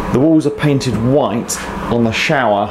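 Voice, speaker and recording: Over noticeable background noise, the speech moves at a fairly slow pace. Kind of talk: casual tour narration. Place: bathroom. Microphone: phone near.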